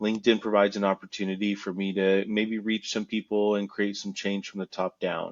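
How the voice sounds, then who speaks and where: A man talks with a fairly low pitch at a fairly quick pace. His intonation is monotone and flat, with hardly any pauses. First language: Spanish. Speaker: creator and former salesperson. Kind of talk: interview. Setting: podcast.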